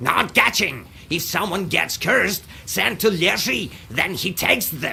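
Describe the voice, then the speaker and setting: A man's put-on character voice, high in pitch, at a fairly slow pace over clear background noise. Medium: video game. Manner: clipped, repeats words, caws.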